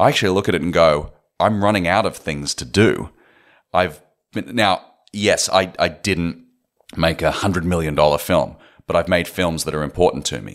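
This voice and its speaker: Ordinary pitch variation and a moderate pace mark this Australian accent, heard on a very clean recording with a silent background. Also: man, very deep, low pitch for a man. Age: 30s. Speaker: film director and writer. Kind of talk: interview.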